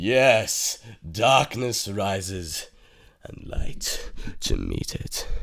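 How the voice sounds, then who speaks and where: A man uses a raspy, put-on character voice at medium pitch. He speaks very slowly, with long, frequent pauses. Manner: menacing.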